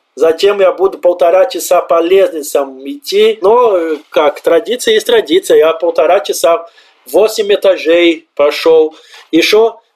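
A man with a high pitch talks at a fairly slow pace. His loudness stays very even, and his pitch varies in an ordinary way. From southern Brazil, Santa Maria. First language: Portuguese (speaking Russian). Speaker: immigrant, office worker. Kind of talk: interview. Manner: animated.

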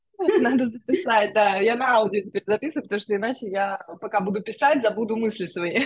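With an unremarkable speaking voice, a woman talks at a fairly high pitch and a fairly quick pace, with ordinary pitch variation and hardly any pauses. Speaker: podcast host. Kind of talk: casual interview chat. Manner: warm, friendly, effusive.

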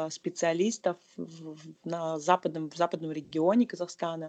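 Against a quiet background, a woman's fairly low voice stays monotone and flat. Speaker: civic activist and marketer. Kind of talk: casual interview.

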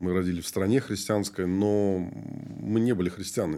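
In a very clean recording with a silent background, a man's very deep, low voice carries a dark, mellow tone and ordinary pitch variation. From Moldova. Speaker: pastor. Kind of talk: interview.

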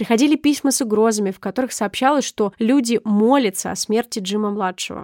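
A woman with a normal speaking voice talks at a fairly high pitch, showing ordinary pitch variation and a fairly quick pace with hardly any pauses. The recording is very clean, with a silent background and a dry, close sound with no echo. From Sakhalin region, Russian Far East. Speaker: podcast co-host. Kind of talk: scripted narration; casual chat.

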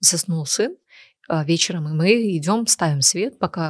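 A woman's fairly low, somewhat breathy voice with lively intonation at a moderate pace, in a very clean recording with a silent background and a dry, close sound with no echo. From Sochi, southern Russia. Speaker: cosmetologist and blogger. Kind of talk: casual chat.

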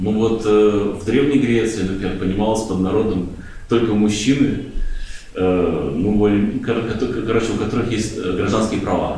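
Over noticeable background noise, a man talks in a fairly low pitch with fairly even intonation. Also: fairly slow pace. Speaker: student. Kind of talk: seminar discussion.

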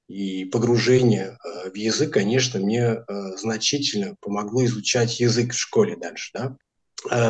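At a fairly slow pace, a man speaks at medium pitch, somewhat breathy, with ordinary pitch variation. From France, Portuguese immigrant family. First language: Portuguese and French (speaking Russian). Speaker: language teacher. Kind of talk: interview.

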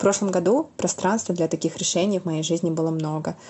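A woman's voice, fairly low in pitch, with fairly even intonation and an unremarkable speaking voice. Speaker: teacher, listener. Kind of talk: recorded listener testimonial.

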